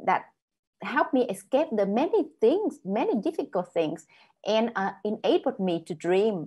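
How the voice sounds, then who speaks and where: Somewhat breathy and fairly high-pitched, a woman talks at a fairly slow pace with very wide pitch swings against a quiet background. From northern Vietnam. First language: Vietnamese. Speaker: author. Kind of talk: panel discussion. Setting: video call.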